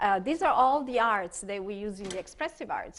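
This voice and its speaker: A woman with an Italian accent, fairly high in pitch, with ordinary pitch variation and a quiet background. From Italy. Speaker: expressive arts therapist. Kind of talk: conference workshop presentation. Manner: hesitant, many fillers.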